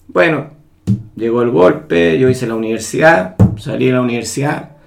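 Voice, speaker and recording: Audible room echo surrounds a man's medium-pitched voice as he speaks at a fairly slow pace with lively intonation. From Chile. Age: 60s. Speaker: engineer. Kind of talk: interview. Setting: at home.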